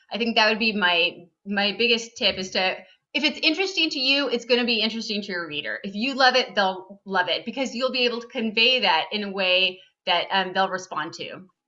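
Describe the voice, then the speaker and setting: A woman talks with a Southern Californian accent. Her pitch sits fairly high. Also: ordinary pitch variation, fairly quick pace. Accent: Valley Girl. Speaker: nonfiction writer. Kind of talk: class video call Q&A. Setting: video call.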